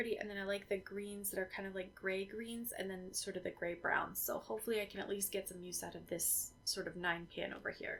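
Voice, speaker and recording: The speaker moves at a fairly quick pace with fairly even intonation. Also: woman. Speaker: beauty youtuber. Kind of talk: casual product review vlog. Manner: fast.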